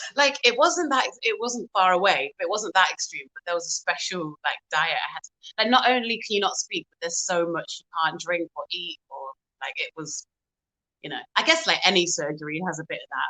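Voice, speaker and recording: A woman with a British accent talks at a moderate pace, with big swings in loudness. The sound is dry and close, with no echo. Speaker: singer and pianist. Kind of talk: interview.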